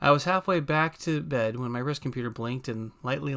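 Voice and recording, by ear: Someone reads a text in a natural voice. The pitch shifts in an ordinary way.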